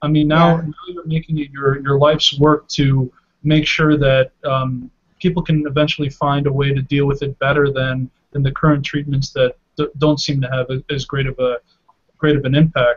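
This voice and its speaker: Somewhat breathy and monotone, a man's flat delivery moves at a moderate pace over a quiet background. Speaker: webinar host and channel founder. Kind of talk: live webinar Q&A. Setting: video call. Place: home room. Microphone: webcam.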